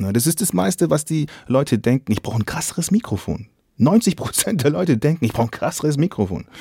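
A man's fairly high voice with vocal fry, a dark, mellow tone and very wide pitch swings, at a fairly quick pace, dry and close with no echo. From Swabia, southern Germany. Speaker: podcast host. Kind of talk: casual interview chat. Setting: video call.

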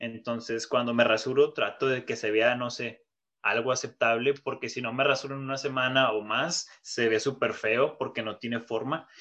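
A man with a Mexican accent speaks at a moderate pace and medium pitch, in a bright, sharp tone with monotone, flat intonation. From Mexico. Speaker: podcast co-host. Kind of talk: casual chat.

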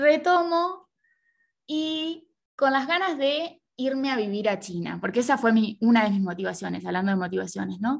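The voice moves at a moderate pace with very wide pitch swings. The background is quiet. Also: woman, fairly high pitch for a woman. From Argentina. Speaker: Chinese language learner and social media creator. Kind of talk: interview.

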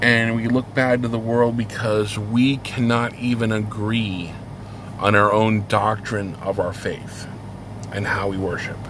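The speaker has an American accent and talks at a fairly slow pace in a monotone, flat intonation. Audible room echo and noticeable background noise are present. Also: man, fairly low pitch for a man. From United States. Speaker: podcast host on heathen religion. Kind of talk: casual monologue. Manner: hesitant, many fillers.

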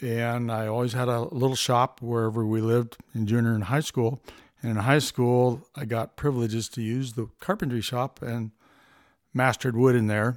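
Speaking in an American accent, a man uses a normal speaking voice at medium pitch and a moderate pace with fairly even intonation. The recording is very clean, with a silent background. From US West Coast, Los Angeles area. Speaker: world traveler and builder. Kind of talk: interview.

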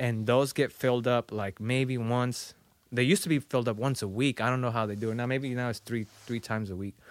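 A man with a Spanish accent, medium-pitched, speaking at a fairly quick pace with fairly even intonation, on a very clean recording with a silent background. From Mexico, small town. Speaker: visual artist. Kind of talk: casual interview chat.

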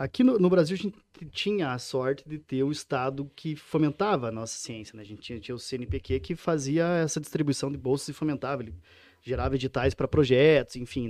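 A man speaks at a fairly quick pace in a fairly high voice with lively intonation. His loudness swings widely, in a dry, close sound with no echo. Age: 30s. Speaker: PhD researcher. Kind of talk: casual interview. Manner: halting, frequent repetitions.

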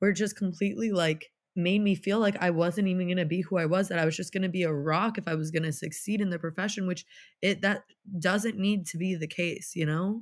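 With a normal speaking voice, a woman talks at a fairly quick pace with fairly even intonation and medium pitch on a very clean recording with a silent background. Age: 20s. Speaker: NICU nurse and founder of a nurse support initiative. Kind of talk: casual chat.

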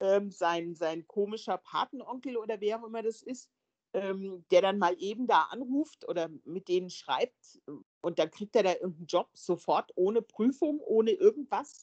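A woman with an ordinary speaking voice at medium pitch, lively intonation and a moderate pace, in a dry, close sound with no echo. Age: 50s. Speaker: film podcast guest. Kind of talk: casual chat.

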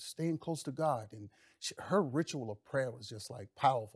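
A man with an American accent talks at a fairly quick pace in an animated tone, his intonation lively and his voice somewhat breathy, in a very clean recording with a silent background and a dry, close sound with no echo. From US South, Mississippi. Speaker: former pro football player, pastor, congressional candidate. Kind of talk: talk show interview. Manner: preachy, animated.

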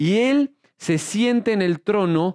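A man speaks with a Mexican accent and lively intonation. The sound is dry and close with no echo, over a quiet background. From Mexico. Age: 30s. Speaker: pastor. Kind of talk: sermon.

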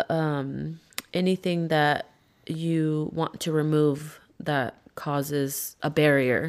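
A woman with an American accent speaks very slowly in a very deep, low voice, her intonation monotone and flat. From Modesto, California. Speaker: podcast guest. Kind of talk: casual chat. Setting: at her home.

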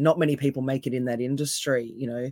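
Her pitch very deep and low, a woman speaks at a moderate pace with fairly even intonation in a dry, close sound with no echo. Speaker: NLP coach and osteopath. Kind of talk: casual interview chat. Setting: video call.

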